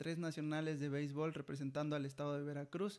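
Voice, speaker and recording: A man talks at a fairly high pitch. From Mexico (Jilotepec). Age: 20s. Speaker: athlete. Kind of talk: casual interview. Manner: halting, many repeated words.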